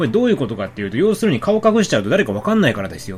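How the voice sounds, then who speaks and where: A man's voice with very wide pitch swings over noticeable background noise. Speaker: film podcast host. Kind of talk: solo film review. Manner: fast.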